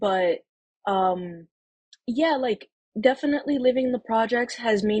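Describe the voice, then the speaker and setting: A somewhat breathy woman with a New York accent talks at a fairly high pitch with ordinary pitch variation, recorded dry and close with no echo. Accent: New York City. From New York City (Harlem, Manhattan). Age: 19. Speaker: makeup artist, first-time voter. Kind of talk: personal testimony interview. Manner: casual, hesitant with fillers.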